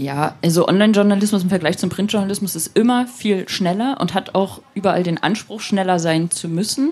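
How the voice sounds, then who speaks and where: With hardly any pauses, a woman talks at a fairly quick pace in a plain, everyday voice with ordinary pitch variation. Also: medium pitch for a woman. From eastern Germany, Rostock. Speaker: online magazine editor-in-chief. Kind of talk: interview.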